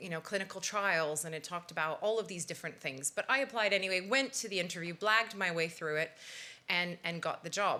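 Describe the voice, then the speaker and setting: A woman with a Canadian accent, a bright, sharp tone and fairly low pitch, at a fairly quick pace, in a very clean recording with a silent background. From Canada. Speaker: pharmaceutical industry professional. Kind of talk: career talk to an audience. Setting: stage with audience.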